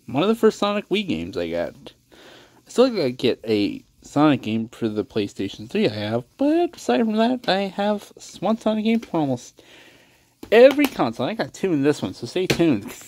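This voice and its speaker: Over light background noise, a man with a high voice makes very wide pitch swings at a moderate pace. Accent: American. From Texas. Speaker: gaming youtuber. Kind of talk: casual video collection showcase. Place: home room. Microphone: phone near.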